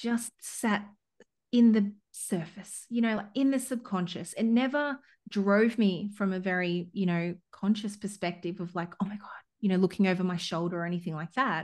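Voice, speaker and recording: A woman speaks at a medium pitch in an ordinary speaking voice, with ordinary pitch variation over a quiet background. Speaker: business coach. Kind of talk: interview conversation. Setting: LinkedIn live audio event.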